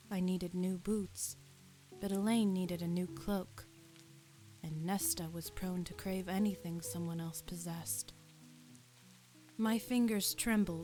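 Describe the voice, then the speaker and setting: A woman talks at a fairly slow pace with ordinary pitch variation and long, frequent pauses. Music plays in the background. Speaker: semi-professional voice actor. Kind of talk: ASMR audiobook reading. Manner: soft, relaxing.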